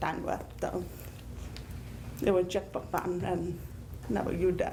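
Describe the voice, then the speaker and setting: With audible room echo, a woman with an American accent speaks at a moderate pace and a fairly low pitch, showing vocal fry. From Connecticut. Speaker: deaf panelist and teacher. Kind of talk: panel talk, personal account.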